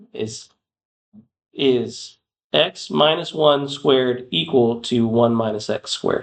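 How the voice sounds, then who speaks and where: With lively intonation, a man talks at a very slow pace and leaves long, frequent pauses. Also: medium pitch for a man. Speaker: math teacher. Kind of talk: classroom lecture. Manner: loud.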